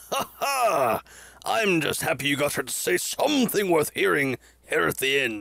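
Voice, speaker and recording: Using a put-on character voice, a man speaks at a moderate pace with fairly high pitch and very wide pitch swings. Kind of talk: comic overacting. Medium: comedy sketch. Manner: formal, blustering, old-fashioned phrasing.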